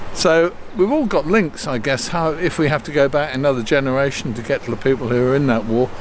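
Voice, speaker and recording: A man with a fairly high pitch talks at a very fast pace, with hardly any pauses, ordinary pitch variation and noticeable background noise. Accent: British. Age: 70s. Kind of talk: casual talk to camera. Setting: outdoors.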